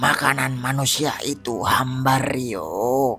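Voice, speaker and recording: Over clear background noise, a man puts on a raspy character voice at a medium pitch and talks at a very slow pace. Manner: menacing.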